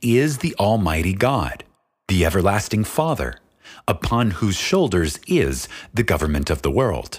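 Solemn and fairly slow, a man speaks at a fairly low pitch with vocal fry, very wide pitch swings and very even loudness. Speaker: audiobook narrator. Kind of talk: audiobook reading of a spiritual text, scripted solemn narration. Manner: slow, measured, solemn and reverent; formal, deliberate, contemplative cadence.

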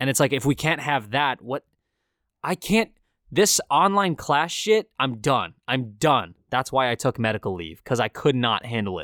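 A man speaks at a medium pitch in an animated, bright, sharp tone with very wide pitch swings. The recording is very clean with a silent background, and the sound is dry and close with no echo. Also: moderate pace. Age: 20s. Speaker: college student podcaster. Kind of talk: casual rant. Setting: home basement.

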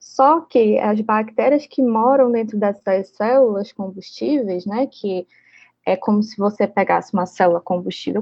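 A woman talks at a fairly slow pace, her medium pitch showing ordinary variation. It is a normal speaking voice. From Brazil, Manaus (Amazonas). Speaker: engineering professor and researcher. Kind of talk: interview.

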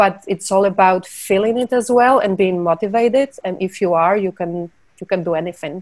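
Speaking at a moderate pace, a woman has a medium pitch and ordinary pitch variation, recorded with a dry, close sound and no echo. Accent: Polish. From Poland. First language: Polish. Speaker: film producer. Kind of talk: interview.

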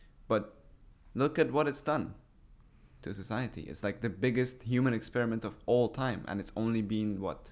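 A man speaks with a Persian accent. His pitch is medium, with ordinary variation. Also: moderate pace. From Iran. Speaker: podcast host, YouTuber. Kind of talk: casual chat.

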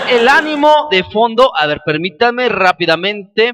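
Crowd noise fills the background as a man with an extremely high pitch speaks in a raised, projected voice at a fairly slow pace, with an animated tone and very wide pitch swings. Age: 30s. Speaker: podcast host. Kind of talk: casual monologue.

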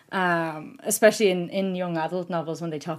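In a very clean recording with a silent background, a woman speaks at a fairly low pitch with an Irish accent. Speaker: podcast host and book reviewer. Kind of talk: casual interview. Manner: nervous, excited.

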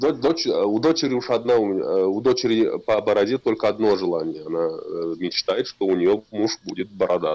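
At a fairly slow pace, a man speaks with hardly any pauses. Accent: Tatar. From Tatarstan, Kukmor area (village). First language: Tatar (speaking Russian). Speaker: builder, beard club captain. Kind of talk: casual interview.

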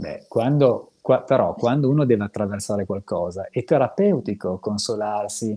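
Lively intonation and a dark, mellow tone at a moderate pace, with hardly any pauses. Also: man, medium pitch for a man. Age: 50s. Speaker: psychotherapist and co-host. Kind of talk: casual chat.

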